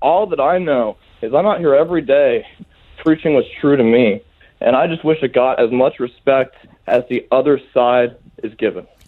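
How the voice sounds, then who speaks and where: A man with an American accent and a normal speaking voice talks at a moderate pace in a fairly high pitch, with ordinary pitch variation. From United States. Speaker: conspiracy theory promoter. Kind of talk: radio interview. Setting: phone call.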